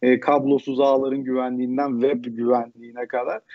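A man talks at a moderate pace in a plain, everyday voice. His pitch sits in the medium range. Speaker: mobile development instructor. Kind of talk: live Q&A answers. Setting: video call.

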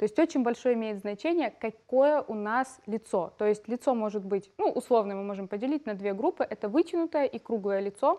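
A woman speaks at a fairly quick pace and fairly high pitch with lively intonation and hardly any pauses, against a quiet background. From Ukraine, Odesa; Ukraine. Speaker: makeup and brow artist, trainer; trainer. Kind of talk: TV studio interview. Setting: TV studio. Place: studio. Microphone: headset.

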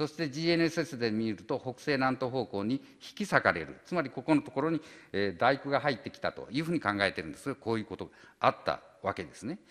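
A man's very fast, vocal-fried speech with very wide pitch swings against a quiet background. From Okayama, Japan (Tsuyama); Okayama, Japan. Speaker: volcanology professor. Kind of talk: retirement lecture; lecture. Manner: halting, many fillers. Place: hall. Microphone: podium.

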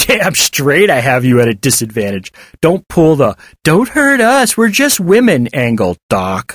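A put-on character voice with a fairly bright tone moves through big pitch swings at a fairly slow pace. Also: man, fairly high pitch for a man.

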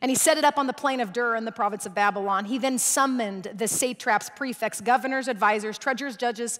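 At a very fast pace, a woman speaks in a high pitch with ordinary pitch variation over a quiet background. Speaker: guest preacher. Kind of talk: sermon. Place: stage. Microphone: headset.

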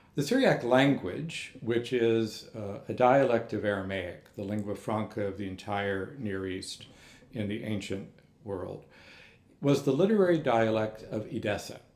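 A man speaks in an American accent with ordinary pitch variation. Audible room echo is heard. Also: fairly slow pace. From Texas. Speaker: monk and manuscript scholar; invited lecturer. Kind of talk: lecture; Q&A answer. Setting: lecture hall with audience. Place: hall. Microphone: podium.

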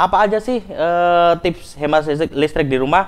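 This man's high voice carries ordinary pitch variation as he talks at a moderate pace. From East Java, Malang; East Java, Indonesia. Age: 20s. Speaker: electrical engineer; presenter. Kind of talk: educational presentation. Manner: halting, many fillers.

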